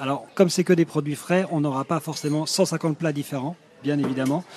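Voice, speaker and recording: A man speaks in a plain, everyday voice. His pitch is fairly high and his intonation fairly even. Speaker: restaurant manager. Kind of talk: interview on location. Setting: on a restaurant terrace.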